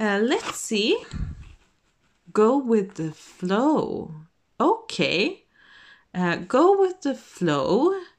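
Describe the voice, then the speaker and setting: A woman speaks with a non-native accent at a very slow pace. Her pitch swings very widely. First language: not English. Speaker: tarot reader. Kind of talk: tarot reading to camera. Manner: halting, many fillers; casual, relaxed.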